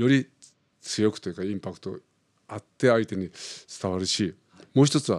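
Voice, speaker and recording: A man talks at a fairly quick pace in a fairly low voice with ordinary pitch variation, big swings in loudness and long, frequent pauses. The sound is dry and close with no echo, on a very clean recording with a silent background. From Philippines (Japanese-Filipino). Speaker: opera singer. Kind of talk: interview.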